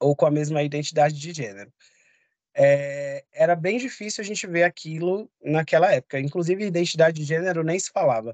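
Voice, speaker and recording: A man with an unremarkable speaking voice speaks fairly quickly at a fairly high pitch, his loudness swinging widely while his pitch varies in the ordinary way, in dry sound with no echo against a quiet background. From São Paulo, East Zone; São Paulo, Brazil. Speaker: public health specialist; course lecturer. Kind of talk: online lecture. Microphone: video call.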